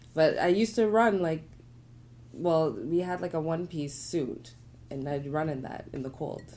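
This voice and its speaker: A woman with a very deep, low voice shows ordinary pitch variation and big swings in loudness, with audible room echo. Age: 30s. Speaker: painter and artist. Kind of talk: casual chat. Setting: studio.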